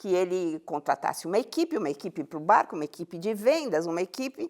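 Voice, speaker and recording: On a very clean recording with a silent background and a dry, close sound with no echo, a woman with a medium pitch speaks very fast with lively intonation. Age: 70s. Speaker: happiness science educator. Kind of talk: interview. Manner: storytelling.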